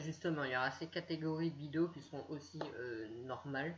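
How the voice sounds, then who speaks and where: At a moderate pace, a woman speaks with lively intonation in a very deep, low pitch. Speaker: YouTuber. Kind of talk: screen-share tutorial. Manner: halting, many fillers.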